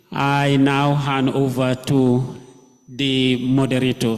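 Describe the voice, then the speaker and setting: A man's very slow, monotone, flat delivery amid noticeable background noise and audible room echo. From The Gambia. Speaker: conference speaker. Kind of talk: conference presentation.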